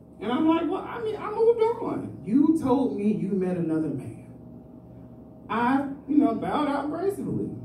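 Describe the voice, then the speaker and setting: Over light background noise and audible room echo, a man talks in a high-pitched voice. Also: moderate pace. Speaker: amateur stand-up comedian. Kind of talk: rambling, confessional open-mic stand-up about dating. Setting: stage with live audience at an open mic. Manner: loose, digressive delivery with frequent filler like 'you know'; self-described as seeming really excited at all times. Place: stage.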